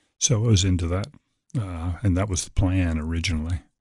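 Somewhat breathy speech in an American accent moves at a moderate pace with ordinary pitch variation against a quiet background. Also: man. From Virginia, Norfolk. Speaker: pastor. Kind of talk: sermon excerpt; radio interview.

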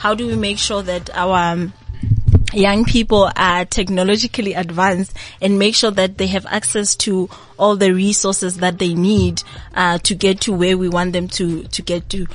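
Music plays in the background as a woman speaks. Her pitch is medium and her intonation fairly even. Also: moderate pace. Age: 20s. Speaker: university project coordinator. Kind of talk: radio interview. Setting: radio studio.

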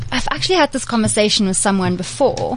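Her voice has a somewhat breathy quality. The woman's intonation is lively. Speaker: PR and digital freelancer, blogger. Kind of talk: casual chat. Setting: studio.

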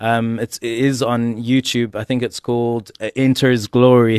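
In a dry, close sound with no echo, a man talks at a moderate pace and medium pitch with monotone, flat intonation. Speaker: artist and minister. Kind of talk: casual radio interview. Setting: radio studio.

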